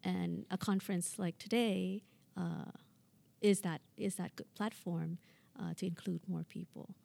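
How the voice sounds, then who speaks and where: The speaker has a Thai accent. The pace is fairly slow. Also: woman. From Thailand, Bangkok. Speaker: public administration professor. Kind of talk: interview conversation.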